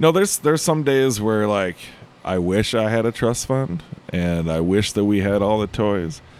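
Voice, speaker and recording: Using an unremarkable speaking voice, a man with an American accent talks at a moderate pace, fairly low in pitch with lively intonation. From US Midwest, Illinois. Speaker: head brewer and brewery co-founder. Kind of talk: casual interview chat. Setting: brewery space in Chicago.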